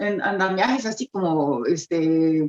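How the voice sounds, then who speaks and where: The woman speaks at a very slow pace, and the sound is dry and close with no echo. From Costa Rica. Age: 60s. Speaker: poet, actress and playwright. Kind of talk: interview conversation. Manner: hesitant, many fillers.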